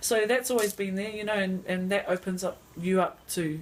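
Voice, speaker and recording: A moderate pace with a New Zealand accent. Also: woman. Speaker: interviewee. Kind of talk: interview.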